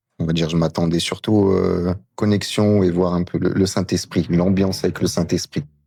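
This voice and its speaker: A man speaks in a very deep, low voice with a dark, mellow tone at a moderate pace. His loudness stays very even and his intonation monotone and flat. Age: 20s. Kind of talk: casual chat.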